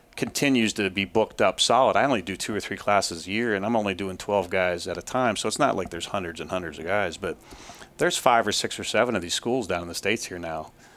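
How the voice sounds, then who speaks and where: This man's pitch is fairly low. He talks at a very fast pace. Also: ordinary pitch variation. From Ohio, US. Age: 50s. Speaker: trapper and trapping instructor. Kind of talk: interview. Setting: trappers convention. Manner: fast-talking.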